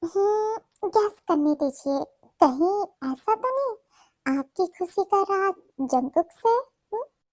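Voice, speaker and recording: In a squeaky, put-on character voice, a woman speaks with extremely high pitch and very wide pitch swings, at a fairly slow pace with long, frequent pauses, in a dry, close sound with no echo. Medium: read story. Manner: sweet, cheerful.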